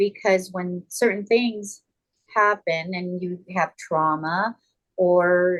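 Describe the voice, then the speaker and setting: Speaking very slowly, a woman with an American accent keeps her medium-pitched voice fairly even in intonation. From Southern California (Carson). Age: 60s. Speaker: TV personality and former executive assistant. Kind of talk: podcast interview. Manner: halting with many fillers and repetitions.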